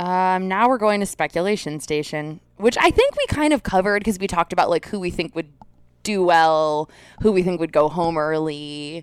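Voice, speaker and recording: A woman with an ordinary speaking voice talks at a moderate pace, her pitch fairly low with ordinary variation. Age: 30s. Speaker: podcast co-host. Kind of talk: casual chat.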